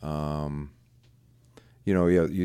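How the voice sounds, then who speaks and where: Midwestern American accent at a fairly quick pace, ordinary pitch variation, very clean recording, silent background. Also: man. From US Midwest, Iowa. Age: 60s. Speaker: musician. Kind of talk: casual chat.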